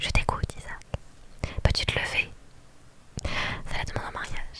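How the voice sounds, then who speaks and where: A woman whispers fairly slowly, with noticeable noise in the background. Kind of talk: whispered reading of a game story. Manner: whispered.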